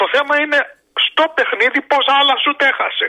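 A man talks at a moderate pace. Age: 60s. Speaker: radio show caller, sports fan. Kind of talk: casual call-in chat about sports.

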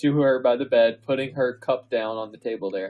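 Simply plain reading aloud

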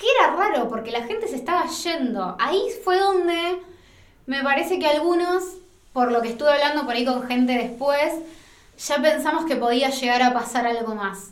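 A woman speaks with a Rioplatense accent at a high pitch, her voice swinging very widely up and down. She talks at a moderate pace, and the room echo is audible. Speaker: film journalist, podcast co-host. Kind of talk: casual chat.

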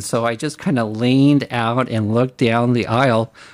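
A man with an American accent, medium pitch, an unremarkable speaking voice and a moderate pace. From California, San Diego area. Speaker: retired special education teacher. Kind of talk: interview testimony.

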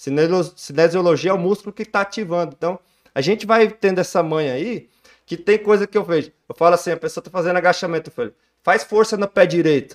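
With big swings in loudness, a high-pitched man talks at a fairly quick pace and ordinary pitch variation. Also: dry, close sound with no echo. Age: 30s. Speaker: physical education trainer. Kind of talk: casual chat.

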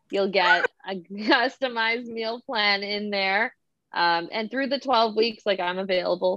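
Speaking fairly slowly, a woman has a plain, everyday voice at a medium pitch with ordinary pitch variation. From Toronto, Canada. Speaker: dancer and small business owner. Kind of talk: casual interview chat.

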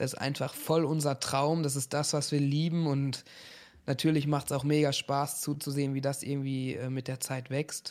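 The delivery is monotone, with flat intonation at a moderate pace. The recording is very clean, and the background is silent. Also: man, fairly high pitch for a man. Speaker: streamer and event show host. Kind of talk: casual chat.

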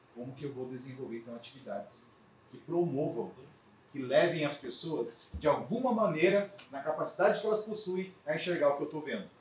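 Lively intonation and big swings in loudness come through at a fairly quick pace over noticeable background noise. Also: man. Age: 40s. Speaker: business mentor and consultant. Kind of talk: lecture. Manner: hesitant, many filler sounds.

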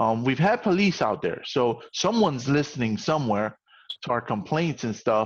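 With an American accent, a man talks at a moderate pace in a normal speaking voice, his intonation lively. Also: medium pitch for a man. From New York, the Bronx. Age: 40s. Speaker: podcast host. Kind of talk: casual interview chat.

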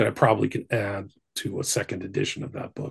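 A man's voice with vocal fry, at a fairly quick pace. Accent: American. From Northern California. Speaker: researcher and author on the occult. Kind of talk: casual chat. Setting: remote call.

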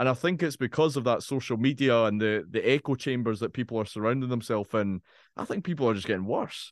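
A man with an Edinburgh accent talks at a very fast pace with ordinary pitch variation. The background is quiet, and the sound is dry and close with no echo. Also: medium pitch for a man. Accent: Scottish (Edinburgh). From Scotland, Edinburgh (Leith). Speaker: podcast host. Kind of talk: casual interview chat.

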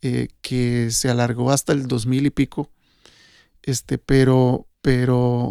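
Speaking very slowly, a man holds a medium pitch. His intonation is flat and monotone, and the sound is dry and close with no echo. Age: 50s. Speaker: sound engineer. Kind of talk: casual chat. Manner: halting.

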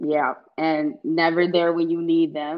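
An ordinary speaking voice at a fairly slow pace. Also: woman. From US South, Atlanta, Georgia. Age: 20s. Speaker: young professional. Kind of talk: casual chat.

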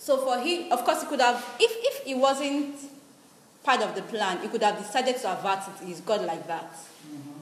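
Over noticeable background noise, a woman's high-pitched voice rises and falls in very wide pitch swings. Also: moderate pace. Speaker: radio preacher. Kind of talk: sermon. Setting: studio.

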